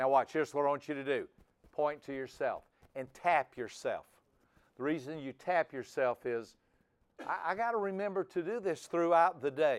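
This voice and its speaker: At a moderate pace, a man uses a normal speaking voice with a fairly high pitch. His intonation is lively. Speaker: personality trainer. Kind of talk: seminar lecture.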